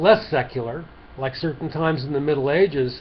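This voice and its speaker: Over noticeable background noise, a man with an American accent talks at a moderate pace. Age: old. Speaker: lay preacher. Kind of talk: short sermon to camera. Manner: halting, conversational.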